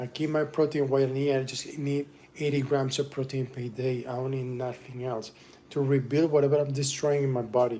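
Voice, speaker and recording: A man with a Spanish accent speaks in a flat monotone at a medium pitch. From Venezuela. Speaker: musician and livestreamer. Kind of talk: casual livestream cooking chat.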